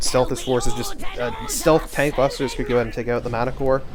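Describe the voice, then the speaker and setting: There is noticeable background noise and audible room echo. A man talks at a very fast pace. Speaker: game caster. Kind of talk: gameplay commentary. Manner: stuttering today; filler-heavy, hesitant.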